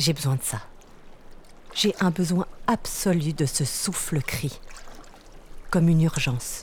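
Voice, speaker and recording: A woman with a very deep, low pitch, a calm tone and a very slow pace. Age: 40s. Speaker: lawyer and author telling her near-death experience. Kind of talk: literary first-person narration of her near-death experience, with a testimony tone. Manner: slow, calm, dreamy, sensory, hushed storytelling.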